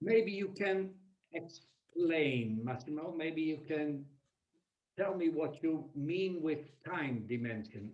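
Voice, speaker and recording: With audible room echo around him, a man speaks at a very slow pace in a fairly high pitch, his intonation lively. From Netherlands. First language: Dutch. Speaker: human capital consultant and keynote speaker. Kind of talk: webinar presentation.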